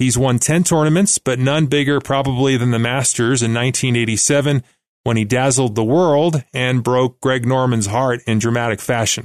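An ordinary speaking voice, a man at medium pitch talks at a moderate pace with fairly even intonation and very even loudness against a quiet background. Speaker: podcast host and author. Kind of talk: interview. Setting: studio.

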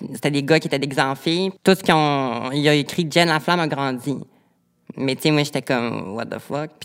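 Pausing long and often, a woman talks at a very deep, low pitch with fairly even intonation. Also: moderate pace, very clean recording, silent background. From Quebec, Lac-Saint-Jean. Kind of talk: personal testimony in interview.

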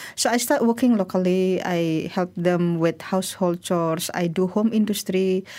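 On a very clean recording with a silent background, an Indonesian accent comes through with ordinary pitch variation. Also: woman. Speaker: migrant workers' rights advocate. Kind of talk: interview. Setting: studio.

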